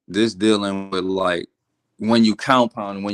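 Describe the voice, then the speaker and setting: A man with an American accent at a moderate pace, in a very clean recording with a silent background. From New Orleans, US South. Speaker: forex trader, live stream host. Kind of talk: casual chat. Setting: live stream. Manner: casual, halting.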